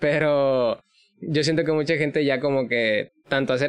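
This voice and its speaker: At a moderate pace, a man with an unremarkable speaking voice talks with fairly even intonation. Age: 20s. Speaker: podcast host. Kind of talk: casual interview.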